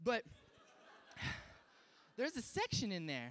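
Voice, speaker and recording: A man with an American accent, very wide pitch swings and a moderate pace. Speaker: stand-up comedian. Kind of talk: stand-up comedy set to a live audience. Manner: casual, self-deprecating, conversational.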